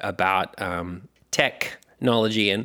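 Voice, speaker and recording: A man's medium-pitched voice with a bright, sharp tone and an Australian accent. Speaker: podcast host. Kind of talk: casual chat.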